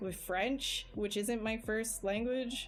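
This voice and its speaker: A woman has a normal speaking voice with a fairly high pitch and a Canadian accent. Her intonation is fairly even. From Canada. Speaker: digital sculptor streaming live. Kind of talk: casual livestream chat while working. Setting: live stream.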